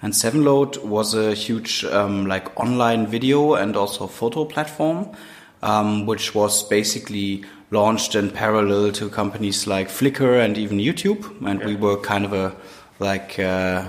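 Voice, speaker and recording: With a German accent, the speaker moves at a moderate pace with ordinary pitch variation against noticeable background noise. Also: man, fairly low pitch for a man. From Germany, Cologne. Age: 30s. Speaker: entrepreneur and university head. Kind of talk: interview. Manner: hesitant with many fillers.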